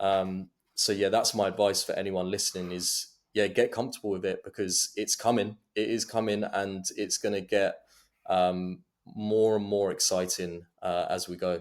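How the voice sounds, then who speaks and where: Against a very clean recording with a silent background, a man with a slight Essex accent speaks at a moderate pace in a fairly low pitch with monotone, flat intonation. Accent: slight London Essex twang. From London/Essex border, England. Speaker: go-to-market director at AI startup. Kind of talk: casual interview chat.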